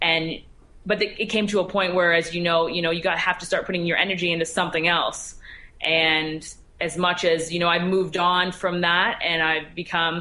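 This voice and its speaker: A woman with a Canadian accent speaks at a fairly low pitch and a moderate pace. Her intonation is monotone and flat, and her loudness stays very even. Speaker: former varsity hockey player and sports reporter. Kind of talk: interview. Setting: remote interview. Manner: halting.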